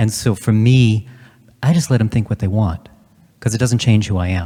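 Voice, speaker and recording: A man speaks with a fairly low pitch and a dark, mellow tone that is somewhat breathy. His pitch variation is ordinary. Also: moderate pace. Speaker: male soprano opera singer. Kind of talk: panel discussion. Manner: halting.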